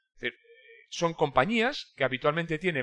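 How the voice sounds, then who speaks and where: With a bright, sharp tone, a high-pitched man speaks with lively intonation. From Basque Country, Spain (Irún). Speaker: logistics consultant. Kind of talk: interview.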